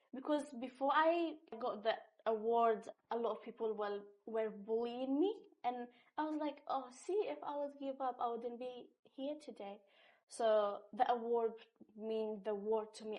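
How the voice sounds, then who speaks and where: With a non-native accent, a woman speaks at a fairly high pitch, showing ordinary pitch variation and big swings in loudness. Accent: foreign. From North Syria and Iraq, Kurdish. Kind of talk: interview answer. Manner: casual, animated storytelling.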